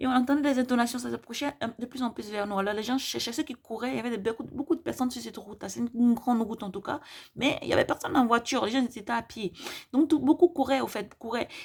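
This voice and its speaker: A woman talks at a very fast pace. Her voice is high, with ordinary pitch variation. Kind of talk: testimony of visions. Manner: hesitant, many fillers.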